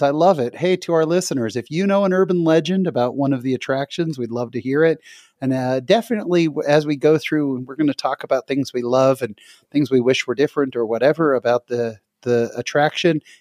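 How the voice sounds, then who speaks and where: With a plain, everyday voice, a man talks at a fairly quick pace, his pitch fairly high and his intonation lively, in a dry, close sound with no echo. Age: 40s. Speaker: podcast host. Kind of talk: casual chat.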